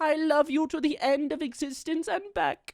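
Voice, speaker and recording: A female-sounding, put-on character voice speaks at a fairly slow pace. The recording is very clean, with a silent background. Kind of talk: comfort audio roleplay. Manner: soft-spoken, affectionate.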